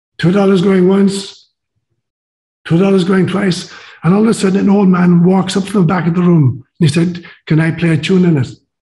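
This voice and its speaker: A man with an Irish accent, high-pitched, with a dark, mellow tone, fairly even intonation, very even loudness and a fairly quick pace. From Ireland. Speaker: priest and psychologist, interview guest. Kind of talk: interview conversation, storytelling.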